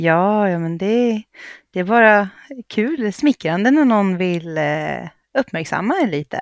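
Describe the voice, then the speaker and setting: Pausing long and often, a woman with a Gästrikland accent talks at a fairly slow pace and medium pitch, in a very clean, dry, close recording with no echo and a silent background. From Gävleborg, Sweden. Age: 30s. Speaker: reality TV contestant. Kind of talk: casual chat.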